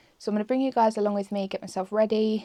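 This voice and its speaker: The voice has a dark, mellow tone and an English accent. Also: woman. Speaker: lifestyle vlogger. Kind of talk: casual vlog talk to camera.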